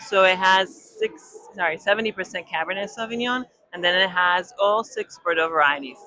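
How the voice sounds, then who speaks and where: There is noticeable background noise as a woman speaks at a moderate pace. She has a slight Israeli accent and ordinary pitch variation. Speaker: winemaker. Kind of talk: on-site interview. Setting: live wine tasting event.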